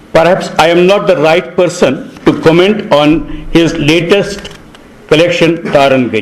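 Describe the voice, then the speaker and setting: The voice moves at a fairly slow pace with ordinary pitch variation and very even loudness. Audible room echo and noticeable background noise are present. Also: man. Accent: Kashmiri. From Kashmir. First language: Kashmiri. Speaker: panel speaker at book launch. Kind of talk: prepared speech. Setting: hall with audience. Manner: formal.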